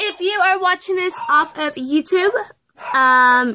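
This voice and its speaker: A woman's raised, projected voice against noticeable background noise. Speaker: vlogger. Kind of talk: casual vlog chat. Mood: giggly, playful. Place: home room. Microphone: phone near.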